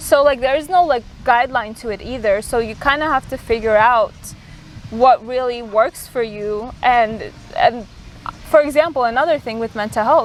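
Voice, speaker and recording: Her voice is high in pitch for a woman, with ordinary pitch variation. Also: moderate pace. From immigrant to the US, arrived at age ten. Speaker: podcast host. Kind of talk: casual chat. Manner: hesitant, many fillers.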